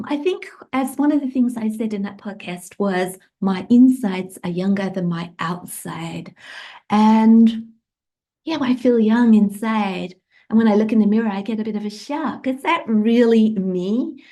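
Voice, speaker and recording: Against a quiet background, a woman speaks fairly slowly in a fairly high pitch, somewhat breathy, with a dark, mellow tone and ordinary pitch variation. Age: 60s. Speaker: podcaster. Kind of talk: casual monologue.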